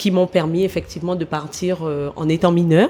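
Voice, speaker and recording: A woman with an unremarkable speaking voice talks fairly low and at a moderate pace, her pitch varying in an ordinary way. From French Guiana (Matoury, Cayenne). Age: 40s. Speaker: former athlete, sports manager. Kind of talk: interview.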